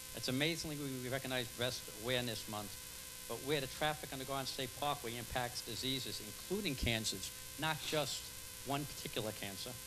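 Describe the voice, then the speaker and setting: Fairly quick speech with ordinary pitch variation, audible room echo and noticeable background noise. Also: man, medium pitch for a man. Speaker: public commenter at council meeting. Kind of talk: reading aloud. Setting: public meeting. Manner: fast.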